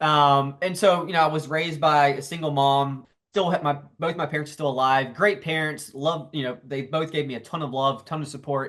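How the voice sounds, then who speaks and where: In a Southern US accent, a man speaks with fairly even intonation. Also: fairly high pitch for a man, fairly quick pace, hardly any pauses. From US South, South Carolina. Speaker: entrepreneur and author. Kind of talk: interview.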